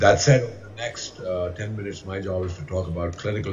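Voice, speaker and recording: Very deep, low male voice at a fairly quick pace with ordinary pitch variation, plus audible room echo and noticeable background noise. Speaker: interventional cardiologist. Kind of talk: conference talk. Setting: remote video presentation to conference hall.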